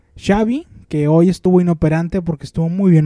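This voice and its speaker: Pitched high with a dark, mellow tone, a man talks at a fairly quick pace with ordinary pitch variation, in a dry, close sound with no echo. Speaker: podcast co-host. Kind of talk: casual chat.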